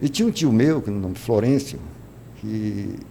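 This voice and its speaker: Vocal fry runs through a dark, mellow tone with lively intonation. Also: man. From Brazil, Ceará (Crato). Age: 70s. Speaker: religious leader and former footballer. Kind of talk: interview. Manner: halting.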